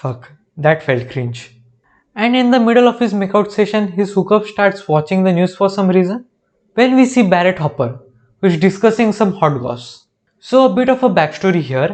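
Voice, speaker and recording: Against a quiet background, a man with an Indian accent talks at a moderate pace, with a high pitch and lively intonation. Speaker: YouTuber reacting to TV shows. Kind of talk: comedic commentary.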